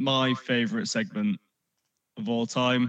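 A man speaks at a medium pitch with very wide pitch swings. The sound is dry and close with no echo, over a quiet background. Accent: English. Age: 30s. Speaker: podcast guest, Simpsons fan. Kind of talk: casual chat.

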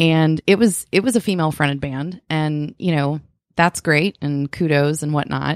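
The speech moves at a moderate pace with ordinary pitch variation. The sound is dry and close with no echo, on a very clean recording with a silent background. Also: woman. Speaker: singer. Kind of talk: casual interview chat. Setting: in studio, in person.

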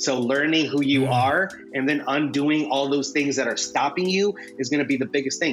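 This man talks at a fairly quick pace in a fairly high voice with ordinary pitch variation. Noticeable background noise sits behind him. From US Midwest, Fort Wayne, Indiana (moved from Mexico at five). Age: 30s. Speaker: entrepreneur and graphic designer. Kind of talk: casual interview chat.

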